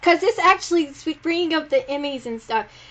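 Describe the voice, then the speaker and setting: With a Southern US accent, a woman speaks against a quiet background. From South Carolina. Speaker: podcast host. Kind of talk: casual chat.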